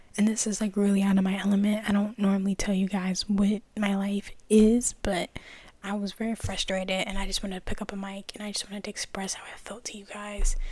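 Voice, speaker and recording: A fairly quick pace amid noticeable background noise. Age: young. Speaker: ASMR youtuber. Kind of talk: casual vent to viewers. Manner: rambling casual speech with many fillers.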